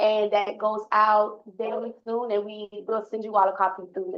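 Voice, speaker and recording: A woman with a fairly high pitch speaks at a moderate pace with hardly any pauses and fairly even intonation in an unremarkable speaking voice. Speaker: transit agency staff presenter. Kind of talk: board meeting presentation.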